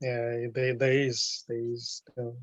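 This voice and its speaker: With a slight South African accent, a man speaks fairly slowly in a somewhat breathy voice, recorded dry and close with no echo. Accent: South African, light. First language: Zulu. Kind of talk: casual chat. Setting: video call. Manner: halting.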